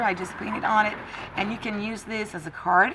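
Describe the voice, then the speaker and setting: A woman speaks with a French accent and ordinary pitch variation. Her tone is bright and sharp. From France. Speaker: crafting tutorial creator. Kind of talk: tutorial. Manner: halting, with frequent fillers.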